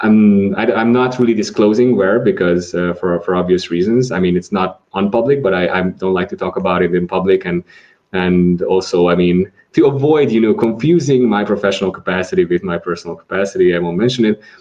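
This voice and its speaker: Speaking fairly quickly in a Hungarian accent, a man uses a fairly low pitch with ordinary pitch variation. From Hungary. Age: 20s. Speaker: atheist society vice president. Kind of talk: podcast interview. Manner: halting, many repetitions.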